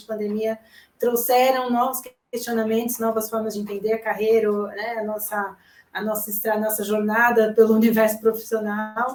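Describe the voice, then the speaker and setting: A woman speaks at a fairly high pitch. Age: 30s. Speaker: journalist. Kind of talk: live consultation chat.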